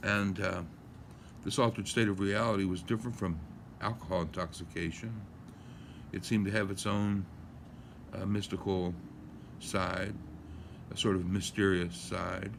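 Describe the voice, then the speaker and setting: A man with a fairly low voice speaks with fairly even intonation and long, frequent pauses. Room echo is audible. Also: moderate pace. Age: 60s. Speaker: lawyer musing on a topic. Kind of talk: casual monologue. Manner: halting, many fillers.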